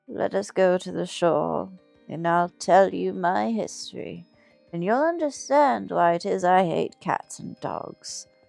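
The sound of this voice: This put-on character voice is shaky and fairly slow. Faint music plays in the background.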